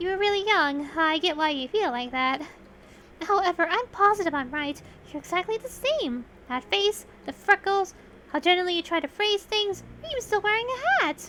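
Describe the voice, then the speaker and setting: Putting on a character voice, a woman speaks at a moderate pace with an extremely high, squeaky pitch. Background noise is clear. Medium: virtual streamer. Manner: energetic, eager.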